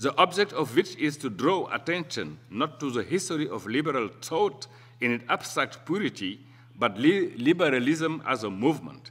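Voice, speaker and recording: Here a man talks at a moderate pace with fairly high pitch. His intonation is lively, and vocal fry comes through. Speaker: professor. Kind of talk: lecture. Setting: conference hall. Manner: formal.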